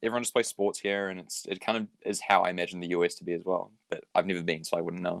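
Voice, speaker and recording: A man talks very fast with hardly any pauses, in a New Zealand accent. His pitch is very deep and low, his intonation fairly even, and the sound dry and close with no echo. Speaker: graphic designer. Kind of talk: casual chat.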